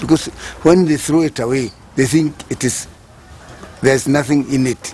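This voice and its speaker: At a moderate pace and with fairly even intonation, the voice comes through over noticeable background noise. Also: man. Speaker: recycling cooperative founder. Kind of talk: interview testimony.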